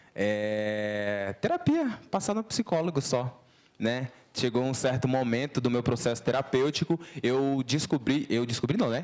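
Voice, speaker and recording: Lively intonation from a man at a medium pitch and a fairly slow speed. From Brazil, interior of Alagoas (Northeast). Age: 20s. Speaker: artist. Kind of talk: lecture to students. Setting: talk with student audience. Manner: casual, slangy.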